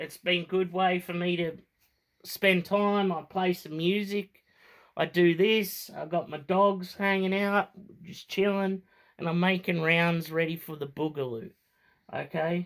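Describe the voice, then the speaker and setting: In an Australian accent, a man with a high pitch talks at a fairly slow pace with fairly even intonation, on a very clean recording with a silent background. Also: big swings in loudness. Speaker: firearms hobbyist vlogger. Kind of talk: tutorial. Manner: casual, hesitant with fillers.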